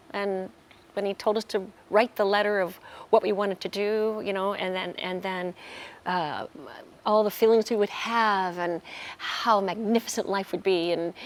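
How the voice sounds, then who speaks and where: A woman at medium pitch, moderate pace and fairly even intonation. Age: 60s. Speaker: workshop participant sharing testimony. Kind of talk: testimony. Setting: on a cruise ship. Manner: halting.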